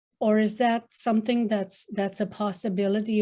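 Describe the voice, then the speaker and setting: This woman's voice sits fairly high in pitch. Its tone is dark and mellow. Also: very clean recording, silent background. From northern Manitoba, Canada. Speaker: participant asking elders. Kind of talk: question to a panel. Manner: halting, many fillers and repetitions.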